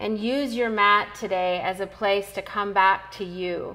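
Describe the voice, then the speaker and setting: Faint music plays in the background. A woman speaks at a very slow pace. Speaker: yoga instructor. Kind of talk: class instruction. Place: gym.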